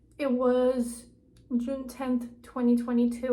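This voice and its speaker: In a high-pitched voice, a woman speaks at a very slow pace with a monotone, flat intonation. Room echo is audible. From Ukraine. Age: 20s. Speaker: vlogger. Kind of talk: casual vlog storytelling.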